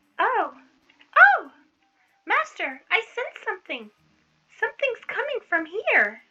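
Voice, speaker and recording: An extremely high-pitched, put-on character voice at a fairly slow pace, with long, frequent pauses. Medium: read story. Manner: excitable, stammers when scared.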